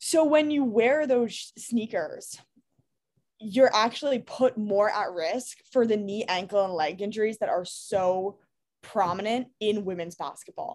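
An American-accented woman speaks with lively intonation at a fairly slow pace. Her pitch is fairly high. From New York City. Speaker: sneaker company founder. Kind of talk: interview.

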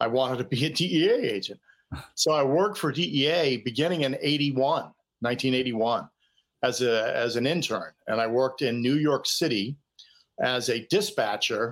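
Recorded very cleanly with a silent background, a man speaks at a fairly slow pace in a normal speaking voice with an American accent. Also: medium pitch for a man, ordinary pitch variation, very even loudness. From Boston. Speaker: retired DEA agent. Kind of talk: interview storytelling.

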